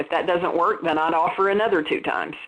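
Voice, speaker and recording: A woman with a slight Southern US accent speaks at medium pitch with lively intonation. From US South. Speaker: dental practice consultant. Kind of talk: webinar presentation. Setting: webinar.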